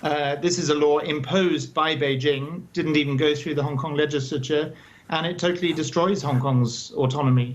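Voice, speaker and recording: A man's fairly high-pitched voice at a moderate pace, with noticeable background noise. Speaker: co-founder and chair of a human rights advocacy group. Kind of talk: news interview answer.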